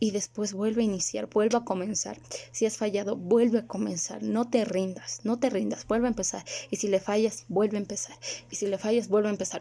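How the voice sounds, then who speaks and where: A woman's medium-pitched voice with a dark, mellow tone, ordinary pitch variation and a fairly quick pace. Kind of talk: religious video monologue.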